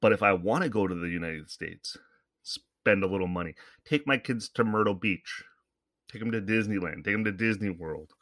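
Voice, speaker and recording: A man's fairly low voice with a Canadian accent, fairly quick in pace, with ordinary pitch variation. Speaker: podcast host. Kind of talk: casual monologue. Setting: home studio microphone. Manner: rambling, conversational.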